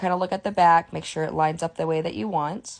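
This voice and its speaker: A woman talks with a fairly low pitch. Her pitch variation is ordinary. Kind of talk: tutorial. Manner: fast.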